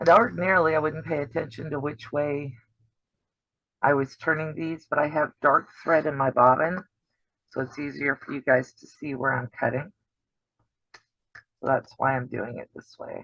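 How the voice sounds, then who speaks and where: A raspy, put-on character voice at a low-to-middle pitch moves at a moderate pace with long, frequent pauses. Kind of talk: instructional. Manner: teacher voice, explaining patiently.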